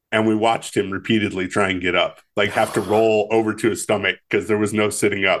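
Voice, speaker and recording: A man with an American accent, fairly low in pitch, monotone and flat, at a very fast pace. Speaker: podcast co-host. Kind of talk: casual chat.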